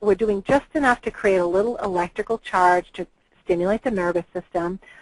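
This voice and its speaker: In an American accent, a woman with a normal speaking voice talks at a fairly quick pace with ordinary pitch variation, the sound dry and close with no echo. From Massachusetts. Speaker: tapping coach. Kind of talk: workshop teaching on a call. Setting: group call.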